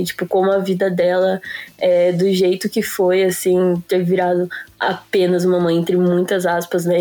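A woman's monotone, flat voice at a moderate pace, over noticeable background noise. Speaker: podcast co-host. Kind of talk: casual chat.

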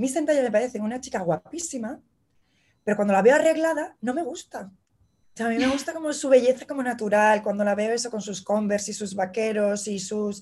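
Speaking fairly quickly in a Madrid accent, a woman with a fairly high voice uses lively intonation. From Madrid, Spain. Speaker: illustrator. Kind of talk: casual interview chat. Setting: remote connection from New York.

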